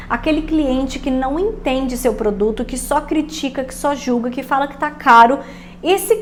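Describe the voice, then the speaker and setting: A woman speaks at a moderate pace with a high pitch and an animated tone. Her pitch variation is ordinary. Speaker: online business coach. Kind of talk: casual podcast-style tutorial.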